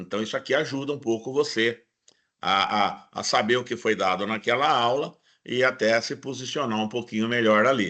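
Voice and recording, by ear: Using a put-on character voice, a man sounds hoarse at medium pitch, with fairly even intonation, a moderate pace and a quiet background.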